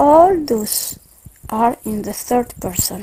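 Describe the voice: Slow-paced and with lively intonation, a woman speaks at a fairly high pitch in a dark, mellow tone with a slightly husky edge.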